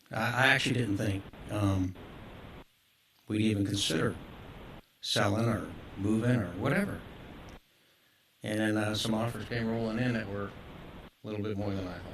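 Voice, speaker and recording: A man's fairly low, monotone voice at a moderate pace, with long, frequent pauses and audible room echo. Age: 60s. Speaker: business owner speaking at public comment. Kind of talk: public comment at council meeting. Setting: city council meeting.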